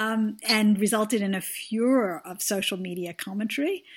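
The voice is somewhat breathy with ordinary pitch variation, captured in a very clean recording with a silent background. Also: woman. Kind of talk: interview.

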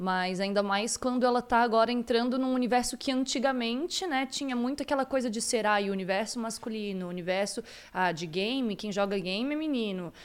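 In an unremarkable speaking voice, a woman talks fairly quickly at a fairly high pitch with ordinary pitch variation and hardly any pauses. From Santa Catarina, Brazil. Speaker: podcast co-host. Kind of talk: casual chat. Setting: live stream.

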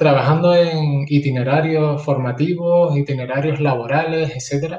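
A man speaks in a plain, everyday voice at a moderate pace. His pitch is fairly high and his intonation fairly even. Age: 40s. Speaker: martial arts teacher and school counselor. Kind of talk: casual interview chat.

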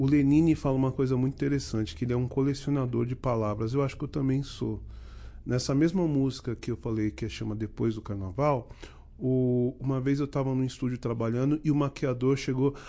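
This man has an unremarkable speaking voice of medium pitch. He talks at a fairly quick pace with fairly even intonation. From Rio de Janeiro, Duque de Caxias. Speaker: musician. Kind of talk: casual chat.

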